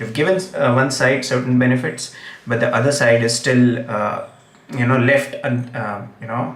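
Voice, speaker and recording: A man with a Gujarati accent, with audible room echo and noticeable background noise. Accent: Indian English, Gujarati. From India, Gujarat. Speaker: English teacher and political commentator. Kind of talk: live stream commentary. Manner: hesitant, many fillers.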